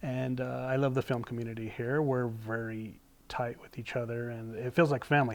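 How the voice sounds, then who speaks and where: The man's voice is medium in pitch, with monotone, flat intonation. He speaks at a moderate pace, and his loudness swings widely. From New Mexico. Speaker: film professional. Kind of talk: casual interview chat.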